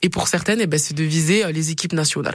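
A woman speaks with a slight southern French accent and ordinary pitch variation. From Perpignan, southern France. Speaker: rugby player. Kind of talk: interview. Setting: radio studio.

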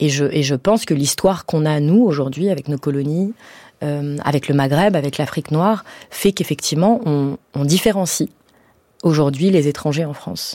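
A woman's very deep, low voice, dark and mellow in tone, with ordinary pitch variation at a moderate pace on a very clean recording with a silent background. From French suburbs, Iranian family. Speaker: playwright and stage director. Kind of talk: radio interview. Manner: casual, many fillers.

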